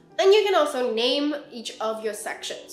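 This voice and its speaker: A woman speaks at a moderate pace, and the room has an audible echo. Faint music plays in the background. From England and Hong Kong. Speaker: product designer. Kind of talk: software tutorial narration. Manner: casual, friendly. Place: home room.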